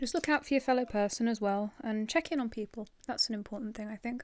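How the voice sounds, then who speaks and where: Soft-spoken and relaxed, a woman talks at a fairly quick pace with a fairly high pitch. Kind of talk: asmr ramble to camera. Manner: soft-spoken, relaxed.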